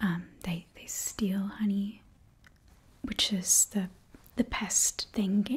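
Soft-spoken woman's voice. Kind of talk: roleplay monologue to viewer. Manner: soft close ASMR speech. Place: home room.

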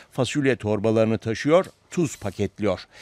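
A man's voice with very wide pitch swings, in a dry, close sound with no echo. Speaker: news reporter. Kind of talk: scripted news narration.

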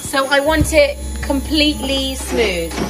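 Clear music plays in the background. A woman is speaking. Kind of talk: casual cooking tutorial chat. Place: kitchen. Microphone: phone near.

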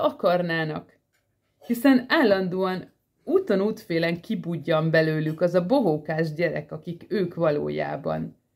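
A woman's fairly low voice at a very slow pace, with lively intonation. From Hungary. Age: 40s. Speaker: vlogger. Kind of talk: personal monologue. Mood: earnest, emotional, animated. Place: home room. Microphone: phone near.

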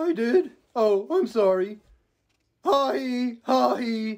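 A cartoonish character voice, fairly high in pitch, at a very slow pace. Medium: puppet. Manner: timid.

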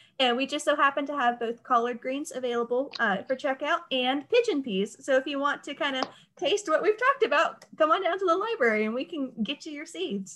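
With an American accent, a woman talks at a fairly quick pace in a high pitch, her pitch swinging very widely. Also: hardly any pauses. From North Carolina. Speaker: library event moderator. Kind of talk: moderated Q&A. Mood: friendly, inviting. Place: home room. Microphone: video call.

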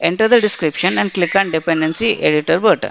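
Over noticeable background noise, a woman speaks at medium pitch with lively intonation. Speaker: SAP software trainer. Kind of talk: tutorial. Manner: formal.

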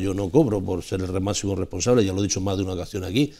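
Against a quiet background, a man with a dark, mellow tone and fairly low pitch talks at a very fast pace. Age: 60s. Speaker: panelist on a local TV talk show; TV talk show panelist. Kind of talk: televised panel debate. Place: studio. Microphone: lapel.

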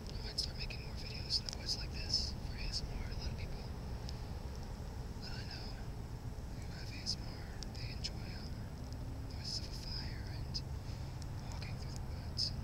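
Moderate pace with long, frequent pauses, over loud background noise, in a dry sound with no echo. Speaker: bushcraft ASMR maker. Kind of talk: ASMR whispering outdoors. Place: forest. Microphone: phone near.

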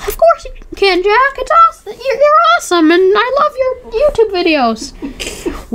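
Someone speaks at a moderate pace in a put-on character voice. Loud background noise runs throughout. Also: woman, extremely high pitch for a woman. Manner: friendly, playful, complimenting.

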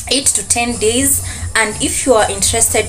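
Music plays clearly in the background. A woman talks at a fairly slow pace. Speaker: student vlogger. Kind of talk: casual vlog chat. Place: home room. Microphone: phone near.

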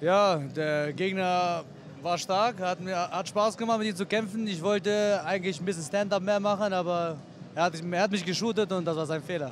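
A high-pitched man's voice, dry with no echo, over light background noise. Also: fairly even intonation, moderate pace. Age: 30s. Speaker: MMA fighter. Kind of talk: post-fight interview. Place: hall. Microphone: handheld.

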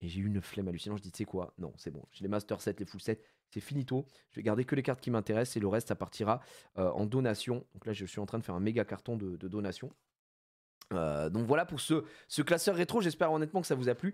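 A man talks in an animated tone at a fairly quick pace, with lively intonation. Long, frequent pauses break up his speech over a quiet background. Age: 30s. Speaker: streamer, card collector; streamer. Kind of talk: live stream chat. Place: home room. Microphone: studio mic.

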